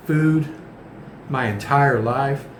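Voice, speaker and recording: A man with an American accent speaks at a fairly high pitch and a fairly slow pace, with fairly even intonation. Noticeable background noise and audible room echo surround him. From United States. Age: 60s. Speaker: vlogger. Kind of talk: casual vlog monologue.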